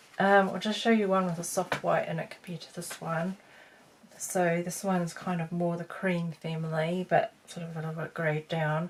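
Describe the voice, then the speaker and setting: A woman with a fairly low pitch speaks in a monotone, flat delivery that is somewhat breathy, with big swings in loudness. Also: moderate pace. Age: 50s. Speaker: beauty vlogger. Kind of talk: tutorial. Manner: halting; casual.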